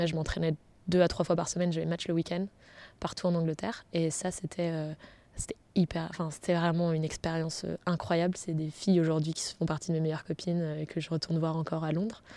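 Speaking at a fairly quick pace, a woman with a fairly low pitch and a dark, mellow tone holds a monotone, flat intonation on a very clean recording with a silent background. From France, south then Picardy (Senlis). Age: 30s. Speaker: entrepreneur. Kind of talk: interview.

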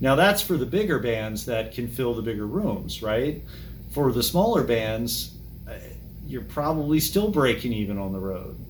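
A man speaks with an American accent at a moderate pace. Audible room echo surrounds his voice. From Maryland, DC suburbs. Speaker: music fan and archivist. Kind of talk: casual chat.

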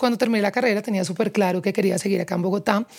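Her intonation fairly even, a woman speaks at medium pitch. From Colombia, Pereira. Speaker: advertising executive. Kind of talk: interview.

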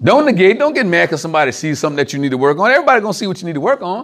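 The delivery is very fast and animated. The pitch swings very widely. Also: man. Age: 40s. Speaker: preacher. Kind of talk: sermon.

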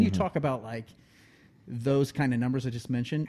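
A man's dark, mellow tone with an American accent. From Ohio (Prospect). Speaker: baseball enthusiast, childhood friend of host. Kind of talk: casual chat.

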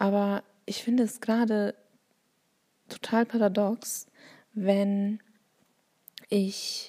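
A woman's somewhat breathy, dark, mellow voice at medium pitch, monotone and flat, in a dry, close sound with no echo. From Bavaria, Germany. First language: Turkish (speaking German). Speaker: teacher and podcaster. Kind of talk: solo monologue. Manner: hesitant, many fillers.

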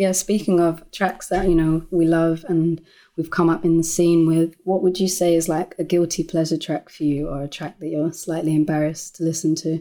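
A woman with a London accent speaks in a fairly low pitch, her tone dark and mellow. Her intonation is flat and monotone, and the recording is very clean with a silent background. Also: moderate pace. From South London (Lewisham). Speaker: musician. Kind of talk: casual chat.

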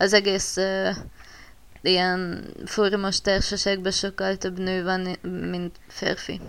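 A woman speaks very slowly at a medium pitch with a bright, sharp tone, in a very clean recording with a silent background. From Borsod county, northeastern Hungary. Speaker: forum roleplay writer. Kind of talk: casual chat.

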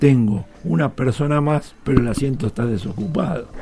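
A man with a plain, everyday voice speaks at a medium pitch with lively intonation. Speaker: elevator engineer. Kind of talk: radio interview.

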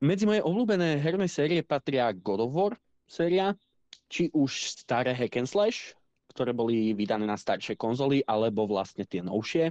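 Very wide pitch swings mark this man's medium-pitched voice, delivered at a moderate pace with very even loudness. The sound is dry and close with no echo, over a quiet background. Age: 20s. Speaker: podcast co-host, gamer. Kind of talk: casual chat.

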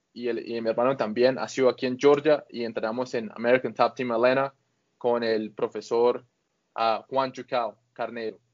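A man's medium-pitched, monotone, flat delivery. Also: moderate pace. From Colombia, Bucaramanga. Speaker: grappling athlete. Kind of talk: interview.

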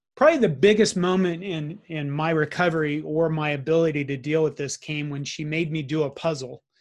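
Against a quiet background, a plain, everyday voice moves at a moderate pace with fairly even intonation. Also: man. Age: 50s. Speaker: IT consultant, heart attack survivor. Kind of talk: interview, personal testimony.

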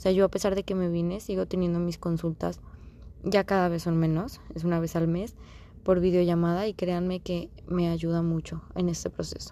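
A woman's fairly low, dark, mellow voice in a monotone, flat intonation. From Mexico. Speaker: podcast host. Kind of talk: casual monologue.

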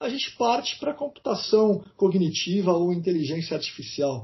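Using very wide pitch swings, a man talks in a high pitch at a moderate pace. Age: 40s. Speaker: university professor. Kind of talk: interview.

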